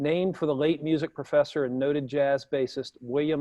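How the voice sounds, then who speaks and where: Fairly high in pitch, a man speaks with a Southern US accent. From US South. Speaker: talk show host. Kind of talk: event host introduction; casual chat. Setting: live broadcast with audience in room.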